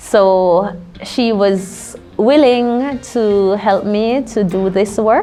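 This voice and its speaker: Music plays in the background as a woman speaks very slowly at a medium pitch with ordinary pitch variation, and audible room echo. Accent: Jamaican. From Jamaica. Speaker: linguist and university lecturer. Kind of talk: interview.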